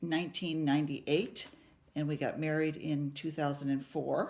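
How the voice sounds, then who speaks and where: The voice belongs to a woman. It sits very deep and low. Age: 70s. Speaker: retired nurse, family member. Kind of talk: family video introduction.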